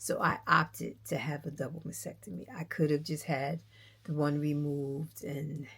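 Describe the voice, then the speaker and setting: In a very clean recording with a silent background, a woman with a very deep, low pitch and vocal fry speaks at a moderate pace with fairly even intonation. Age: 60s. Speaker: knitting vlogger. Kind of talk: casual vlog chat. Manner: gentle.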